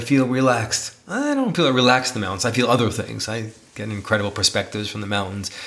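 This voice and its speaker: Over noticeable background noise, a man with an American accent speaks at a medium pitch with ordinary pitch variation. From New York City. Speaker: podcast co-host, teacher and author. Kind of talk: casual chat between partners.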